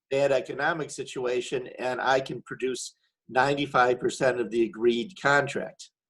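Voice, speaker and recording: A man's ordinary speaking voice, medium in pitch, at a moderate pace. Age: 60s. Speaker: wedding photographer asking a question. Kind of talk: Q&A question in a webinar. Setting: webinar.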